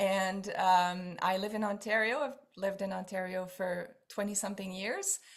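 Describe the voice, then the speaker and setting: A fairly slow pace in a French Canadian accent. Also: woman. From Quebec. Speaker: essential oils seller. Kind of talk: online class. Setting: video call. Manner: animated.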